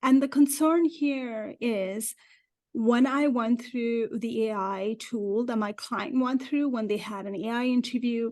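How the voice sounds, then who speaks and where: Against a quiet background, a woman with a non-native accent talks at a fairly slow pace in a high pitch with ordinary pitch variation. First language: not English. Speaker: career coach for immigrants. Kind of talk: interview.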